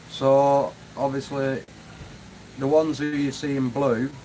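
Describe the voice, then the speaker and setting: A man at medium pitch and a fairly slow pace, with a Manchester accent. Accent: northern English (Manchester area). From northwest England, near Manchester. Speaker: YouTuber, urban explorer. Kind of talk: live stream chat. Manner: casual, hesitant with fillers.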